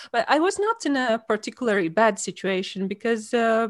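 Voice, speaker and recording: On a very clean recording with a silent background, a woman in a Latvian accent speaks at a fairly high pitch with lively intonation. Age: 40s. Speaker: author. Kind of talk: interview. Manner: halting.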